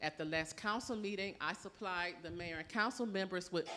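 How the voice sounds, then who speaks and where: This woman's voice sits at a medium pitch, and her intonation stays fairly even. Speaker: city water department official. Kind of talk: public presentation at community meeting. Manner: fast.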